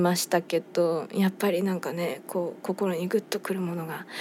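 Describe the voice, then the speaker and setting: Here a woman is speaking. Her tone is relaxed. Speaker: band vocalist and radio host. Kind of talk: radio talk show monologue. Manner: relaxed, leisurely.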